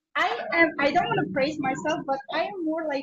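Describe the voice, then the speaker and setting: The speaker keeps a moderate pace, with a slight Korean accent. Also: woman. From Azerbaijan. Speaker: expat interviewee. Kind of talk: interview. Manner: hesitant, many fillers.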